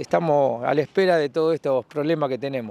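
A man talks at a moderate pace with ordinary pitch variation, in a dry sound with no echo. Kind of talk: interview answer. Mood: complaining, frustrated. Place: street. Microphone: handheld.

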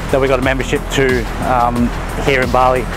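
Music plays in the background while a man speaks at a moderate pace. The sound is dry, without echo. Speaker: fitness vlogger. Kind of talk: casual vlog chat. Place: street.

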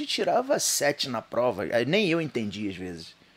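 A man is speaking. His pace is moderate. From Rio de Janeiro state, Região dos Lagos; Rio de Janeiro state, Brazil. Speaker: bodybuilder and YouTuber; podcast guest. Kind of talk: casual chat. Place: studio. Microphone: studio mic.

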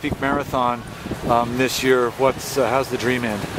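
Loud background noise in a dry sound with no echo. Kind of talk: interview questions. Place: garden.

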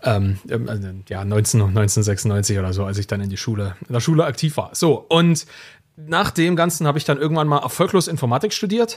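On a very clean recording with a silent background, a man talks at a moderate pace in a medium pitch, somewhat breathy, with very wide pitch swings. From eastern Germany. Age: 30s. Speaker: founder and author. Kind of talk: interview.

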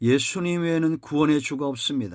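Moderate-paced speech from a man, captured on a very clean recording with a silent background. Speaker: pastor. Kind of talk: sermon.

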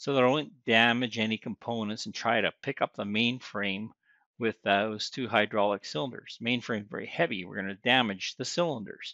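At a moderate pace, a man speaks in a bright, sharp tone with ordinary pitch variation, the sound dry with no echo over a quiet background. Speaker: service school instructor. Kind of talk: tutorial. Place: farm machine. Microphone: phone near.

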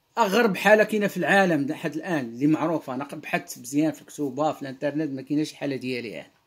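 In a Moroccan accent, a man with a fairly high pitch speaks at a very fast pace, with big swings in loudness and ordinary pitch variation. The background is quiet. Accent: Moroccan Arabic (Darija) with French words. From Morocco. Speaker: online religious commentator. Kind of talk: monologue lecture on Quran verses. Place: home room. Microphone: webcam.

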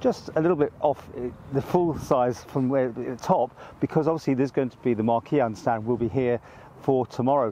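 A man's dark, mellow tone with ordinary pitch variation, dry with no echo, over light background noise. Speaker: local TV reporter. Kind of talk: informal on-location news commentary. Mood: calm, respectful. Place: open country.

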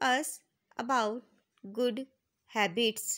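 The tone is bright and sharp over a quiet background. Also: woman. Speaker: teacher. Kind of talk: lesson explaining English text in Hindi. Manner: slow, word-by-word with pauses. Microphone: phone near.

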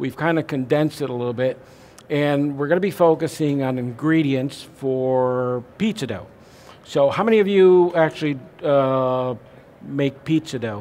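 A man speaks with ordinary pitch variation, keeping a moderate pace. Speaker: presenter. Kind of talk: seminar lecture. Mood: friendly, relaxed. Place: hall.

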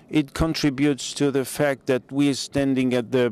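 Over noticeable background noise, a man talks at a fairly slow pace with medium pitch and fairly even intonation. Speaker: conference moderator and physician. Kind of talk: conference opening speech. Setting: stage with audience.

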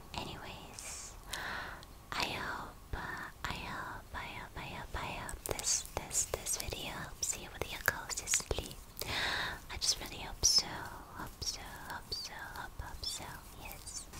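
A woman whispers at a very slow pace, leaving long, frequent pauses, with big swings in loudness. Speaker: ASMR creator. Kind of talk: ASMR girlfriend role play. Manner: soft-spoken, slow, repetitive. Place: home room. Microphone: studio mic.

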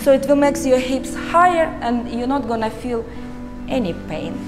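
Clear music in the background behind a woman at a high pitch and moderate pace. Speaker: yoga instructor. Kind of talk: guided yoga session instruction. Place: hall.

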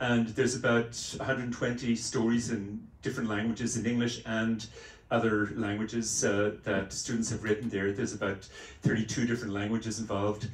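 At a moderate pace, a man with a medium pitch speaks in a somewhat breathy voice with monotone, flat intonation and audible room echo. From Ireland, Dublin. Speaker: professor and researcher; professor. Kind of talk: interview on stage. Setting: meeting room with audience. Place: meeting room.

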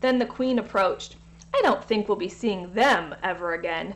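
The text is read aloud in a natural voice.

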